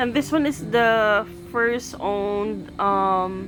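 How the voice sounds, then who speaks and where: Over music in the background, a woman with a fairly high pitch talks at a very slow pace. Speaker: beauty vlogger. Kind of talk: makeup vlog. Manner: soft-spoken; casual Taglish code-switching.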